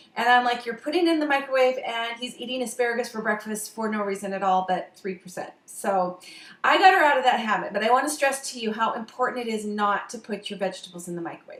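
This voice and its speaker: Over noticeable background noise, a woman with a fairly high voice talks at a very fast pace with hardly any pauses and ordinary pitch variation. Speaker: health and diet vlogger. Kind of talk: casual talk-to-camera advice. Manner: hesitant, many fillers.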